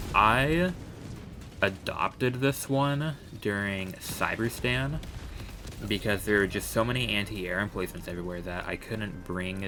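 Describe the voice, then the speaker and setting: A man speaks quietly in a fairly low voice at a fairly slow pace. His pitch varies in an ordinary way, with music in the background. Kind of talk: gaming commentary voiceover. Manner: quiet, hesitant.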